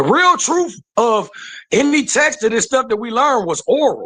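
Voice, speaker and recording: Raised and projected, a man's voice carries a bright, sharp tone and lively intonation. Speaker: caller. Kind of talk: heated debate. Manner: fast.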